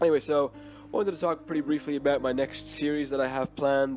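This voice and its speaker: Music plays in the background as a man speaks at a medium pitch and a fairly quick pace with lively intonation. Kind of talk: casual talk to camera.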